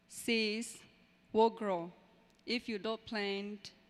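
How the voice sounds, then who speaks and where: A woman speaks with fairly even intonation. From Burma, raised in refugee camp in Thailand. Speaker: adult education graduate. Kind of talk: graduation speech. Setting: graduation ceremony with audience.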